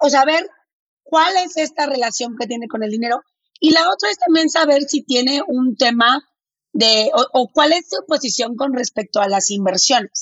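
A woman with a northern Mexican accent, high in pitch, her intonation lively. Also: moderate pace. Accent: northern Mexican, blunt-sounding. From Mexico, Monterrey. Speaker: finance educator. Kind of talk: interview.

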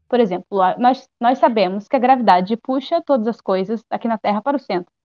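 A woman talks at a fairly quick pace in a normal speaking voice. Her pitch is fairly high, with ordinary pitch variation. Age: 20s. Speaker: amateur astronomer and science communicator. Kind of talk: explainer; casual chat.

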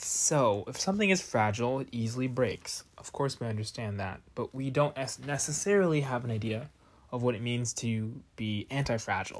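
With an American accent, a man talks in a normal speaking voice at medium pitch and a moderate pace, his pitch varying in an ordinary way, on a very clean recording with a silent background. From US, Northern Virginia. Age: 20s. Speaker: podcast host. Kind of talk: solo monologue podcast.

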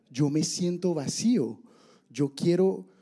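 With a Caribbean Colombian accent, a man speaks in a fairly high, dark, mellow voice with ordinary pitch variation. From Barranquilla, Colombia. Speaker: churchgoer sharing testimony. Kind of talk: testimony.

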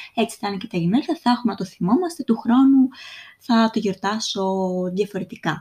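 Lively in intonation, a woman speaks at a moderate pace with a fairly high pitch and a dark, mellow, somewhat breathy tone. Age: 20s. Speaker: podcast host. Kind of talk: solo podcast monologue.

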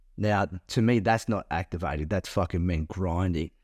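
At a moderate pace, a man talks in a very deep, low voice, recorded very cleanly against a silent background with a dry, close sound and no echo. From Queensland, Australia (Toowoomba). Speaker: podcast host, men's coach. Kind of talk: casual chat.

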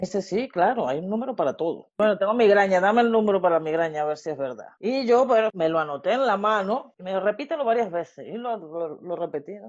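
Speaking very fast with hardly any pauses, a woman uses lively intonation at a medium pitch. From Venezuela. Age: 40s. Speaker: student of the course, interviewee. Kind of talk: casual interview, personal testimony.

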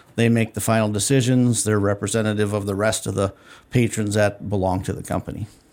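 A man with an Upper Midwest accent, fairly low-pitched, flat and monotone, at a very fast clip. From North Dakota. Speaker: dairy cooperative executive. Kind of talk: casual radio interview. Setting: radio studio.

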